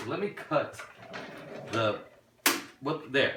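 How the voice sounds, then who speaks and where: A fairly slow pace with audible room echo. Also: man. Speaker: RC hobby YouTuber. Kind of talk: unboxing review. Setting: home studio. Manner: halting, stuttering; excited, animated.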